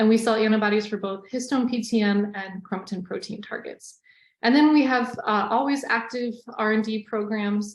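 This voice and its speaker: The woman's pitch is fairly high and her intonation fairly even. Her voice is somewhat breathy. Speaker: scientist presenting a webinar. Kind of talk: webinar presentation. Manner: fast.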